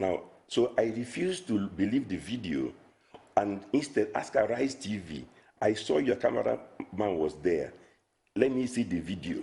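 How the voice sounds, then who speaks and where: A man with a dark, mellow tone and vocal fry speaks at a moderate pace, his medium pitch making very wide swings. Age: 60s. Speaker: financial analyst. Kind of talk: TV interview.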